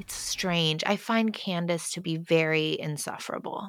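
A woman at a fairly low pitch, with ordinary pitch variation. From United States. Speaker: singer-songwriter. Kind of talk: casual chat.

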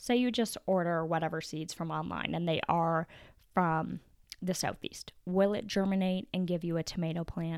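A woman with a plain, everyday voice speaks at a moderate pace with a fairly low pitch and fairly even intonation. It is a very clean recording with a silent background. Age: 30s. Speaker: podcast host, homemaker and gardener. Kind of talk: casual solo talk and tutorial. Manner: casual, with frequent fillers.

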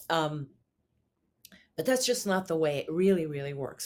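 This woman talks with a New York accent, her pitch fairly low and varying in an ordinary way. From New York City. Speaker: singer-songwriter. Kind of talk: interview. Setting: remote interview from New York City.

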